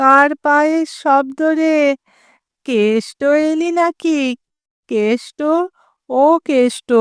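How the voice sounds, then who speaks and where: A woman speaks in a squeaky, high-pitched, put-on character voice at a very slow pace. Her loudness stays very even, and the sound is dry and close with no echo. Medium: read story. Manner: plaintive, repetitive calling.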